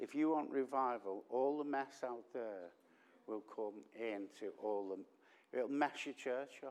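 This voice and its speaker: A man's medium-pitched voice in a Liverpool accent, fairly slow, with ordinary pitch variation. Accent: Liverpool (Scouse). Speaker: visiting preacher. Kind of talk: sermon. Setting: church with congregation. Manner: loud; drops voice at times.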